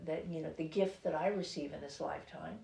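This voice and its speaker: Somewhat breathy, a woman talks with ordinary pitch variation against audible room echo. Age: 60s. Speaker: author. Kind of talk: interview. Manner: halting.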